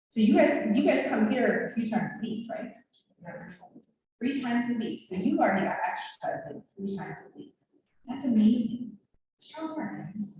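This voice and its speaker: Amid audible room echo, a woman with a fairly high pitch speaks in an animated tone at a moderate pace, with ordinary pitch variation, big swings in loudness, and long, frequent pauses. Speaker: nurse and injury prevention educator. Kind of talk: health education talk to a group.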